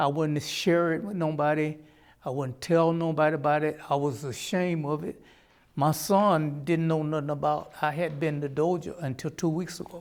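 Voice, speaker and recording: With a Southern US accent, a man speaks at a moderate pace, his fairly high pitch following fairly even intonation. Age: 70s. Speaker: reform school survivor and war veteran. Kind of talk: testimony.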